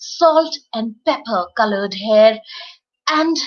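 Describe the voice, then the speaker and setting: A woman at a very slow pace, music in the background. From India, Uttarakhand. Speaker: storyteller, voice over artist. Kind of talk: children's storytelling. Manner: warm, expressive, engaging.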